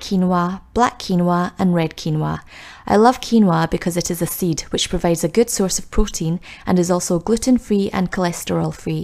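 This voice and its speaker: With a Scottish accent, a woman speaks at a moderate pace in a medium pitch, her dark, mellow tone upbeat and cheerful, with ordinary pitch variation. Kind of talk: cooking tutorial voice-over. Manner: upbeat, cheerful.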